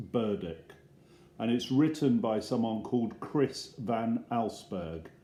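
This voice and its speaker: With an English accent, a man speaks at a very slow pace and a medium pitch, his dark, mellow tone carrying lively intonation. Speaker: primary school teacher. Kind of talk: reading aloud. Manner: soft-spoken. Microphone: iPad mic, no microphone.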